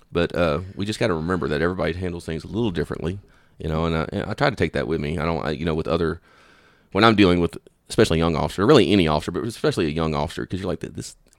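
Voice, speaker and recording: Speaking very fast with a Southern US accent, a man with a very deep, low pitch shows ordinary pitch variation on a very clean recording with a silent background. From Louisiana. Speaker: police officer. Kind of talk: interview.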